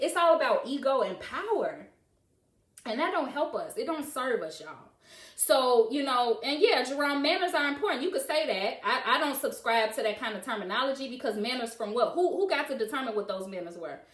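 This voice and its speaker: A loud woman speaks at a fairly quick pace with a high pitch and very wide pitch swings. Audible room echo surrounds her voice. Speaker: live-stream host discussing parenting. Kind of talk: live stream monologue answering comments. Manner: animated, passionate.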